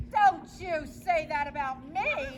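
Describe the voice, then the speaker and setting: A woman does a put-on character voice at a high pitch over clear background noise. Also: ordinary pitch variation. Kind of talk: comic stage acting. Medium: stage play. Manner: chatty, theatrical.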